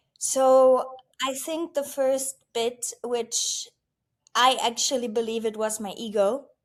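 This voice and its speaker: Very slow delivery with ordinary pitch variation. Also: woman, high pitch for a woman. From Germany. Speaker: entrepreneur and wealth coach. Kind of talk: podcast interview.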